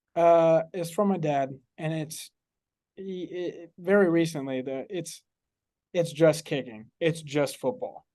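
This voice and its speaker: Over a quiet background, a man speaks very slowly in a high pitch with a dark, mellow tone. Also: ordinary pitch variation. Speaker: college football kicker. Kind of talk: interview. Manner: halting, repeats words.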